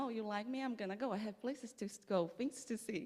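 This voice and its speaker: With a Brazilian Portuguese accent, a woman talks at a fairly high pitch with ordinary pitch variation. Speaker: immigrant legal advocate, former attorney. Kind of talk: personal testimony talk at church service. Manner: halting, many fillers and restarts.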